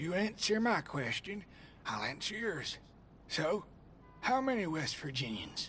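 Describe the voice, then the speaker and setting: A man puts on a raspy, high-pitched character voice, speaking at a fairly slow pace with long, frequent pauses. Clear background noise runs behind him. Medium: video game. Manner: folksy, teasing.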